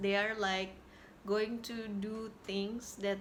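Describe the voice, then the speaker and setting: Speaking at a very slow pace with an Indonesian accent and a medium pitch, a woman is heard with audible room echo. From Indonesia, Jakarta. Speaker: YouTuber sharing healing experiences. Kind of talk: personal vlog talk. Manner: halting, with repetitions.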